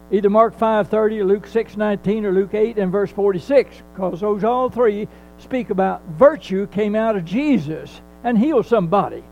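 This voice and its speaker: Music plays behind a man whose high voice shows ordinary pitch variation. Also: fairly slow pace. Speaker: preacher. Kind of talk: sermon. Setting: church.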